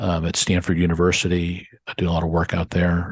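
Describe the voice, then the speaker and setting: A man with an American accent speaks at a fairly quick pace in a very deep, low voice, recorded dry and close with no echo against a quiet background. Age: 60s. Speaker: hedge fund manager. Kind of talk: interview. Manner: halting.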